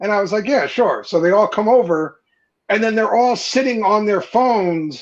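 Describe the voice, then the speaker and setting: A man speaks at a moderate pace with a strong New Jersey accent. His pitch is high, with ordinary variation. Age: 30s. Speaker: podcast guest, beard content creator. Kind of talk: casual chat.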